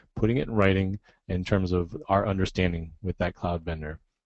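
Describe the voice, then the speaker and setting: A man talks at a fairly quick pace in a fairly low pitch with ordinary pitch variation. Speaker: software licensing director and cloud contracting instructor. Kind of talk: webcast presentation. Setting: webcast. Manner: fast.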